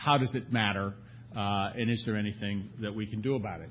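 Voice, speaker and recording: He has a normal speaking voice and a fairly low pitch. This man's intonation stays fairly even. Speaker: panelist presenting survey data. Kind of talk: conference panel presentation. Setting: conference hall with audience.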